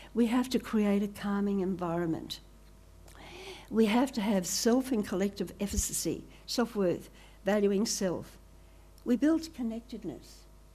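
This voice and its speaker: Speaking in an Australian accent, a woman has a dark, mellow tone that is somewhat breathy. She keeps a moderate pace with ordinary pitch variation. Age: 80s+. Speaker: professor. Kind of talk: conference talk. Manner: animated.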